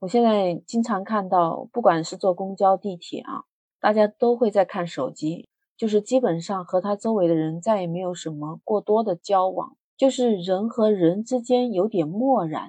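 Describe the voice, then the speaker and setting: A woman speaks at a medium pitch and moderate pace, her tone dark and mellow, with ordinary pitch variation and a dry, close sound with no echo. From Hunan, China. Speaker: podcast host. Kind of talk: casual monologue.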